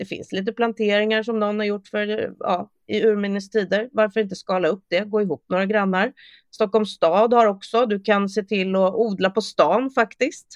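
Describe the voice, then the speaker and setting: At a moderate pace with fairly even intonation and hardly any pauses, a woman speaks in an ordinary speaking voice, the sound dry and close with no echo. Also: medium pitch for a woman. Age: 40s. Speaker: sustainability consultant and influencer. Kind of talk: casual interview.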